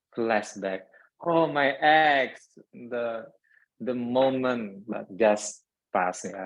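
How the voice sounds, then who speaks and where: Against a quiet background, a man with an Indonesian accent speaks at a very slow pace, leaving long, frequent pauses. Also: medium pitch for a man, ordinary pitch variation. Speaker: toastmasters club member, grammarian. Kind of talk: club meeting role explanation.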